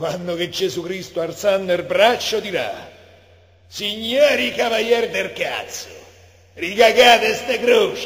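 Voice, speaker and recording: A man's high voice, very slow pace, long and frequent pauses, ordinary pitch variation, and noticeable background noise. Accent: Roman. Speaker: poetry reader. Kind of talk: poetry reading.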